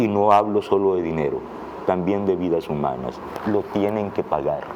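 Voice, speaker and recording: Noticeable background noise sits behind a man's voice. He talks at a moderate pace with ordinary pitch variation. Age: 60s. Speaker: writer and political analyst. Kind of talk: interview.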